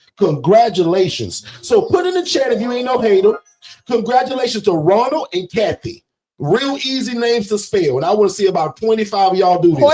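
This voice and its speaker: With music in the background, a high-voiced man speaks fairly quickly, his intonation lively. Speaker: business coach. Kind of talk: livestream sales pitch. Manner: loud and forceful; animated.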